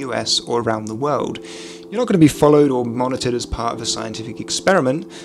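Through noticeable background noise, a man speaks at a very fast pace with ordinary pitch variation. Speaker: commentary youtuber. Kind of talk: commentary. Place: home room. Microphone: studio mic.

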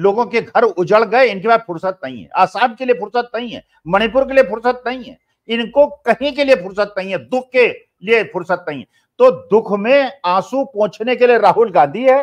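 Over a quiet background, a man with an extremely high pitch speaks at a moderate pace, with ordinary pitch variation and big swings in loudness. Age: 70s. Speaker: political commentator. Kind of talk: political discussion. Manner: animated. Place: home room. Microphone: earbuds.

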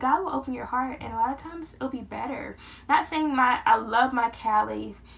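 A woman speaks at a moderate pace. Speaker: vlogger. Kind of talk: casual vlog chat. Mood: earnest, animated. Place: home room. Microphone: phone near.

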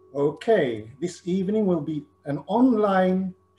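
A man speaks at a fairly slow pace while music plays behind him. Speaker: breathwork facilitator. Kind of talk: guided session introduction. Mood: warm, calm. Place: home room. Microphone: video call.

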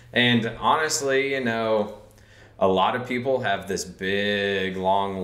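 Over music in the background and audible room echo, a man speaks at a fairly low pitch. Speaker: podcast guest. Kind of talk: interview answer. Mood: relaxed, amused. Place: studio.

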